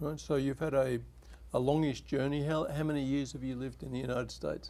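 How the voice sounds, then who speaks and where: A man talks at a very fast pace with an Australian accent. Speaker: TV talk show host, academic. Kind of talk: interview. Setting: studio.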